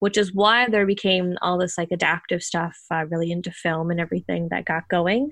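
Against a quiet background, a woman with a Newfoundland accent talks at a fairly quick pace in a bright, sharp tone. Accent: Newfoundland-tinged Canadian English. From Ontario, Canada. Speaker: theater stage manager. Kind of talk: casual interview. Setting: video call.

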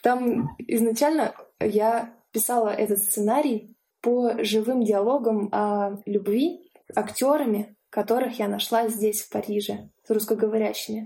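The voice has a dark, mellow tone, moving at a fairly slow pace with fairly even intonation. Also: woman, fairly high pitch for a woman. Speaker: animation film director. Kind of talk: casual interview.

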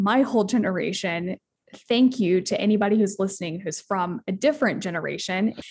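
Here is a woman with an unremarkable speaking voice at a medium pitch. She keeps a moderate pace with ordinary pitch variation. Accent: American. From Asheville, North Carolina, US. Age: 20s. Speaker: CEO advisor and business consultant. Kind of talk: casual interview conversation.

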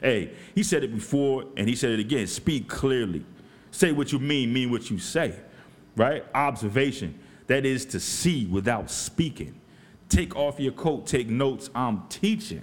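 This man speaks at a fairly slow pace with a medium pitch, some vocal fry, an animated tone and lively intonation. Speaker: podcast host. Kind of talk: casual chat.

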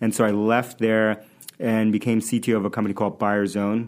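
A man speaks at a fairly quick pace with an American accent. His intonation is monotone and flat. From New York City (Queens). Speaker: tech startup founder and CEO. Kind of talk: casual interview. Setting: studio.

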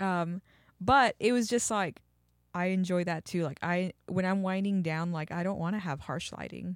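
A woman's normal speaking voice with an American accent, medium pitch, ordinary pitch variation and moderate pace, on a very clean recording with a silent background. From Texas. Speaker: podcast co-host. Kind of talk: casual chat.

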